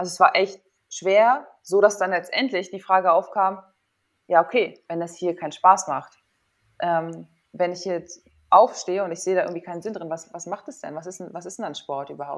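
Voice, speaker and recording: A woman speaks at a moderate pace in a medium pitch, with ordinary pitch variation. It is a normal speaking voice, with big swings in loudness. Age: 30s. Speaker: former volleyball player, sports psychologist and yoga teacher. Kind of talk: casual interview.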